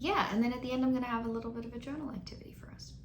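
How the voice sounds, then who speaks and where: Noticeable background noise and audible room echo surround a woman with a fairly high pitch and lively intonation. She speaks at a very fast pace. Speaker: mental health counselor. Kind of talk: educational talk. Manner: casual, conversational.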